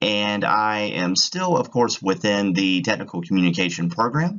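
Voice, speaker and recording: A man with a Virginian accent speaks at a fairly low pitch. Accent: rural Virginian. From rural Virginia, Halifax County. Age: 30s. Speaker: graduate student presenter. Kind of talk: student presentation. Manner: casual, with some stumbles.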